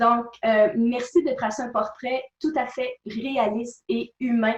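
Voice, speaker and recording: Someone with a Quebec accent speaks at a very slow pace with ordinary pitch variation. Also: woman. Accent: Québécois French. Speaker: personal development speaker and author. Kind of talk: interview.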